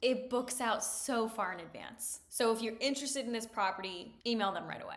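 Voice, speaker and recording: Upbeat in tone, a woman speaks at a fairly high pitch. Background noise is noticeable. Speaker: destination wedding planner. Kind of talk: vlog-style tutorial. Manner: upbeat, conversational.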